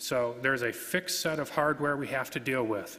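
A man at a moderate pace with ordinary pitch variation. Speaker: conference presenter. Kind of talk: lecture. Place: hall. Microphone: podium.

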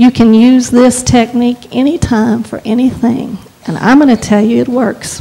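A woman with a high-pitched, warm voice speaks at a moderate pace with fairly even intonation. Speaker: preacher. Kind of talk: guided prayer in a sermon. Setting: church with congregation. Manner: earnest, fervent, exhorting; warm, lightly humorous. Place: church. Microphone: handheld.

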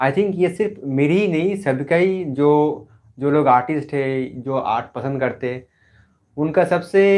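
A man speaks with a fairly high pitch at a fairly slow pace. The background is quiet. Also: ordinary pitch variation. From West Bengal, India. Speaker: art YouTuber, painter; art YouTuber. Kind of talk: live stream Q&A. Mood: cheerful, relaxed. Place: home room. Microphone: mic was faulty, may sound poor; lapel.

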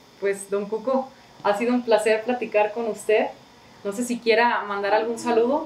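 With a monotone, flat intonation, a woman speaks at a fairly high pitch and moderate pace amid audible room echo. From Mexico, Jalisco (San Miguel el Alto). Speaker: local video interviewer. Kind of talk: interview; channel outro. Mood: friendly, relaxed. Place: home room. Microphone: camera far.

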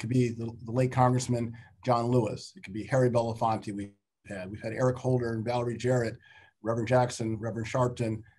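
Speaking at a very fast pace, a man with a medium-pitched, somewhat breathy voice keeps his intonation fairly even while his loudness swings widely. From Chicago. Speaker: investment firm CEO; guest. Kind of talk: panel discussion webinar. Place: home room. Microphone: video call.

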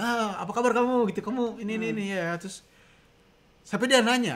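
A man's bright, sharp tone at a very fast pace. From Indonesia. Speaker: co-host; livestream co-host. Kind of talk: casual live-stream chat. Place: kitchen. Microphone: studio mic.

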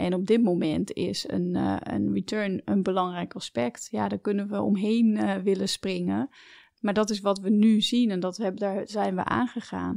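A woman at a moderate pace against a quiet background, in dry, close sound with no echo. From Netherlands, family fled from Belarus. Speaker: entrepreneur, company co-founder. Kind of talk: interview conversation. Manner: hesitant, many filler sounds.

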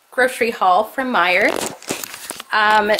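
Noticeable background noise accompanies a voice that moves at a fairly slow pace. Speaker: family vlogger. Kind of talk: casual vlog chat. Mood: cheerful, relaxed. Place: home room. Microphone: phone near.

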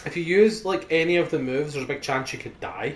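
Someone with a Scottish accent talks at a very fast pace over noticeable background noise. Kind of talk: casual gaming commentary.

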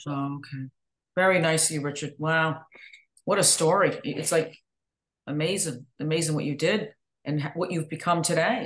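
Against a quiet background, a woman speaks at a moderate pace with long, frequent pauses. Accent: American. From northern US. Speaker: podcast host. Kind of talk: interview.

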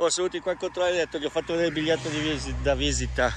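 A man is heard in a dry sound with no echo, with light background noise. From Italy. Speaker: travel vlogger. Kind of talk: vlog monologue. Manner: rambling, fast. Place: open country. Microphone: phone near.

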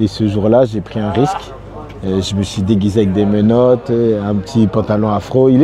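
A moderate pace and fairly even intonation, with noticeable background noise behind it. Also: man, fairly low pitch for a man. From France, Rennes (born in Congo). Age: 30s. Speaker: singer. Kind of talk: interview. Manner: casual, conversational.

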